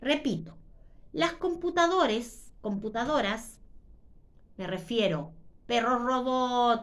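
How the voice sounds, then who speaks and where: Through audible room echo, a woman speaks at a fairly slow pace with a fairly high pitch and very wide pitch swings. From Chile. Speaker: YouTuber. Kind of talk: monologue. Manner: deliberately slowed.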